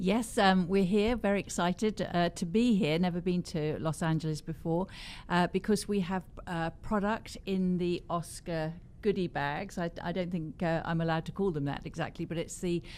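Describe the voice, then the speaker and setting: A woman with an English accent speaks at a moderate pace and fairly low pitch, her intonation fairly even, on a very clean recording with a silent background. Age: 70s. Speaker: cosmetics company founder and author. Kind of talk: interview.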